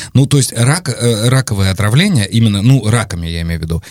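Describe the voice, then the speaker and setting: Lively intonation marks a man's fairly low-pitched voice at a fairly quick pace. It is an ordinary speaking voice. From Volgograd region, Russia. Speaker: podcast host. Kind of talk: interview.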